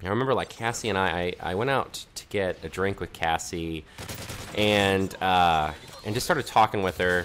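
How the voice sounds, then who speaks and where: Over noticeable background noise, the speaker talks with an American accent and ordinary pitch variation. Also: man, very deep, low pitch for a man. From Conway (US college town). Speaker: gaming commentator. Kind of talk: casual gameplay commentary with storytelling. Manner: fast; casual, hesitant with many fillers.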